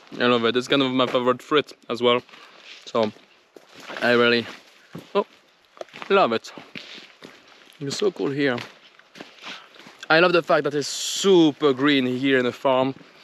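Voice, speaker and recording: A man speaks at a moderate pace with ordinary pitch variation and long, frequent pauses. The sound is dry and close with no echo, though background noise is noticeable. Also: medium pitch for a man. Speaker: travel vlogger. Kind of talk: casual vlog talk to camera. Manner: quiet; animated.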